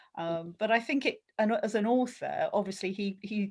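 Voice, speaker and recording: A woman's fairly high, somewhat breathy voice with lively intonation. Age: 60s. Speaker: book club member. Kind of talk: casual chat.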